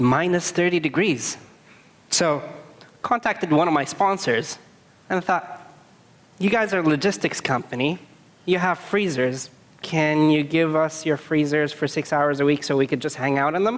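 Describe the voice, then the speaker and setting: A man speaks at a moderate pace with ordinary pitch variation. His delivery has long, frequent pauses. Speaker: conference speaker. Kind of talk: public talk storytelling. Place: stage. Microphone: headset.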